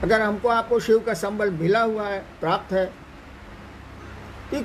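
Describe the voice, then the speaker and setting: The speech comes at a moderate pace with noticeable background noise. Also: man. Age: 70s. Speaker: spiritual guru. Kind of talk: spiritual Q&A talk.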